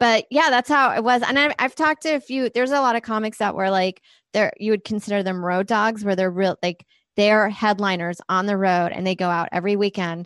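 Fairly quick and at medium pitch, a woman speaks with ordinary pitch variation. The sound is dry and close with no echo, and the background is quiet. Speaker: stand-up comedian. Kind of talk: casual interview.

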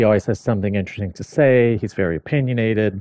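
A man with an American accent, a dark, mellow tone, and a dry, close sound with no echo over a quiet background. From US Midwest, mid Michigan. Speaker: automotive media editor. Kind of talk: casual chat.

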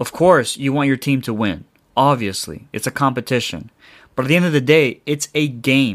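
This man has a normal speaking voice at a medium pitch, talking at a moderate pace with ordinary pitch variation in a very clean recording with a silent background. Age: 20s. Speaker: football podcast host. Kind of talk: casual solo podcast. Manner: casual, filler-heavy.

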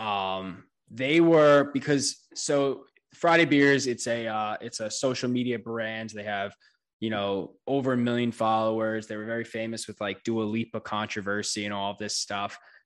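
With an American accent, a man has an unremarkable speaking voice at a medium pitch, moving at a moderate pace with ordinary pitch variation over a quiet background. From New York. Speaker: brewery co-founder and podcaster. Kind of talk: casual chat.

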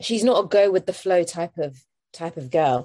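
Here is a woman in a London accent. Her pitch is fairly low. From East London, England. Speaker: actress. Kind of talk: casual interview. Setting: video call.

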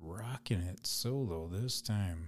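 Somewhat breathy and very deep, a man's low voice moves at a very slow pace. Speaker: podcast host and spray paint artist. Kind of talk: casual solo podcast monologue. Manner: free-flowing, rambling pace.

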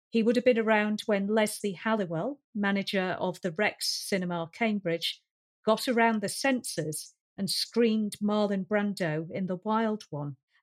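A woman with a Lancashire accent speaks at a fairly slow pace, her medium-pitched voice carrying ordinary pitch variation. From Lancashire, northern England. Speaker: science fiction writer. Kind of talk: casual chat.

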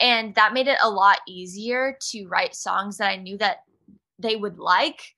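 A woman speaks at a fairly slow pace in a fairly high pitch, her tone bright and sharp and her loudness swinging widely. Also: ordinary pitch variation. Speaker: singer-songwriter. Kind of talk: interview.

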